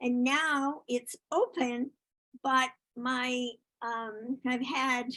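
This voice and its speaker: This woman speaks with a high-pitched voice. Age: 80s+. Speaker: author and world traveller. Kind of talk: interview answer.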